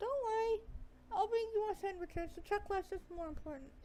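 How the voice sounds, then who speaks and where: A woman speaks in a put-on character voice, squeaky and extremely high-pitched, at a fairly quick pace. Clear background noise can be heard. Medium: game stream. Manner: brisk, commanding.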